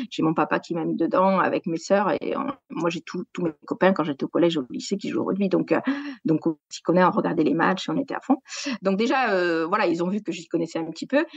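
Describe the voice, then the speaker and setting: Delivered at a fairly quick pace with lively intonation, the speech comes in a southwestern French accent, the sound dry and close with no echo. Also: woman, fairly low pitch for a woman. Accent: southwest French. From southwest France, Gers. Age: 40s. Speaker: sports journalist. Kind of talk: podcast interview. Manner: hesitant, many fillers.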